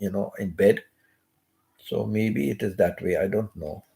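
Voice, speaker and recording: Whispering in a hoarse, put-on character voice, a man speaks at a moderate pace. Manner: almost whispering.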